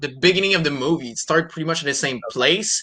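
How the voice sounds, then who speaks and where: A man with a French Canadian accent speaks in a high pitch with lively intonation. Noticeable background noise runs behind him. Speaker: comic publisher and creator. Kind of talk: casual interview.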